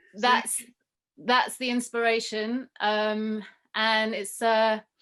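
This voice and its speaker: A woman's fairly high, flat, monotone voice in a London accent, very slow, on a very clean recording with a silent background. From London, England. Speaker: rapper and yoga teacher. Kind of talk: interview answers. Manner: hesitant.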